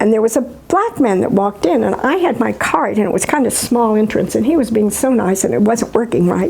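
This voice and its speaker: Noticeable background noise fills the recording. Through it, a woman speaks at a fairly quick pace. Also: hardly any pauses. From US Midwest. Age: 80s+. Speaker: retired teacher. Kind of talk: interview. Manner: halting.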